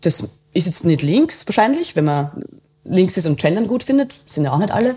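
It is an ordinary speaking voice, a woman at a medium pitch. She talks at a moderate pace with lively intonation. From Austria, Waldviertel (Lower Austria). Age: 30s. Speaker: journalist. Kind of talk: casual interview.

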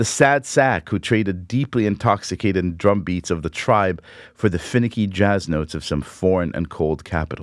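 In a very clean recording with a silent background, a man with a very deep, low pitch speaks with ordinary pitch variation and hardly any pauses. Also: moderate pace. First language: Hebrew. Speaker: podcast host. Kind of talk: reading aloud a personal essay.

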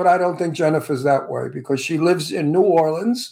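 A man's high-pitched, dark and mellow voice at a fairly quick pace, very cleanly recorded against a silent background. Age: 80s+. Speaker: talk show host. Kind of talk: casual chat. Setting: studio.

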